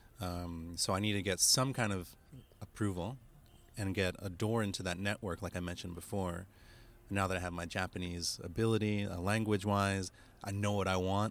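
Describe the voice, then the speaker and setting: Fairly quick speech with an American accent and fairly even intonation, on a very clean recording with a silent background. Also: man, very deep, low pitch for a man. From United States. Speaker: creative entrepreneur. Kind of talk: casual interview. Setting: parked van.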